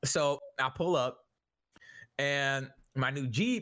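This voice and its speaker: This man has a medium pitch. His tone is bright and sharp. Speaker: streamer and podcast co-host. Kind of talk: casual chat. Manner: stumbling over words.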